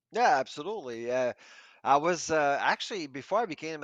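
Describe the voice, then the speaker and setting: A man's normal speaking voice with lively intonation at a fairly quick pace, against a quiet background. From Quebec, Canada. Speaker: professor. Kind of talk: podcast interview.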